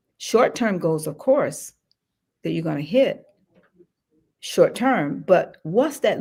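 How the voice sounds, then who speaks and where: Against a silent background in a very clean recording, a woman speaks with a fairly low pitch and vocal fry. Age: 70s. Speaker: general contractor and wealth-building author. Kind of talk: podcast interview.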